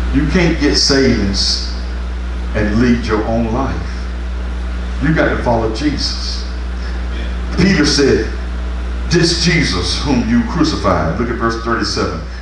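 Amid noticeable background noise and audible room echo, a man with a very deep, low pitch speaks monotone and flat at a very slow pace with long, frequent pauses. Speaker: pastor. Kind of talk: revival sermon, fervent call-and-response exhortation to congregation. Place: church. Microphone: camera far.

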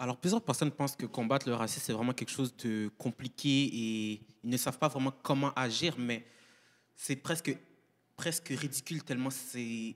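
A man's speech with long, frequent pauses and ordinary pitch variation. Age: young. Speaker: anti-racism movement representative. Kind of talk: panel discussion. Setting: live panel at a community centre. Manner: formal. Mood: earnest, persuasive. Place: hall. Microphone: handheld.

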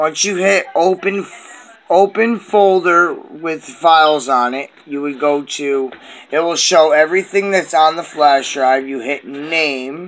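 A man at a fairly slow pace, with ordinary pitch variation. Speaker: amateur tutorial maker. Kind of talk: tutorial. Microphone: phone near.

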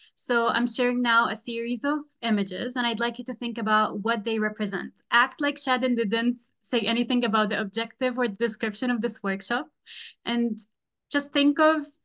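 A woman at a moderate pace with fairly even intonation against a quiet background. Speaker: presenter. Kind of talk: online workshop presentation. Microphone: video call.

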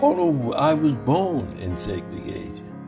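With lively intonation, a man talks while music plays behind him. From Selma, Alabama. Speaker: war veteran. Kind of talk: oral history interview answer.

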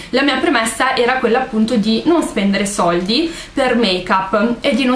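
A woman talks at a fairly quick pace. Light background noise and audible room echo are present. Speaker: beauty vlogger. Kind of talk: casual vlog chat. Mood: relaxed, chatty. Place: home room. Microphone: webcam.

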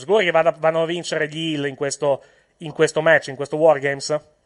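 A man with a fairly high pitch speaks at a fairly quick pace in an unremarkable speaking voice. The sound is dry and close with no echo, over a quiet background. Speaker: wrestling podcast host. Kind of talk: heated argument over wrestling booking. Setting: online recording, remote connection. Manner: talking over others, quick overlapping interjections.

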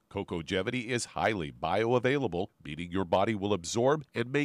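A man talks at a fairly quick pace with vocal fry and very wide pitch swings. The recording is very clean and silent in the background, with a dry, close sound and no echo. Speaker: radio co-host and announcer. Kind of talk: scripted ad reading.

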